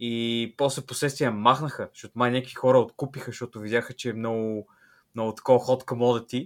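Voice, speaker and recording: In a very clean recording with a silent background, a man talks at medium pitch in a plain, everyday voice. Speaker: podcast co-host. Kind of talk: casual chat.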